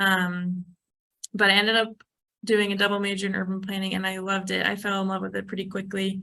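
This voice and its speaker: Very fast and monotone, a woman speaks with a medium pitch and a bright, sharp tone. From US Midwest, Chicago. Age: 20s. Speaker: urban planner. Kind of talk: informal presentation to young trainees. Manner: casual, many filler ums.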